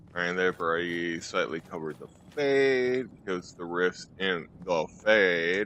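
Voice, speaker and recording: Against noticeable background noise, a man speaks at a fairly slow pace with a very deep, low pitch. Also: ordinary pitch variation. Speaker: gaming youtuber. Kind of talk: let's play commentary. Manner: soft-spoken.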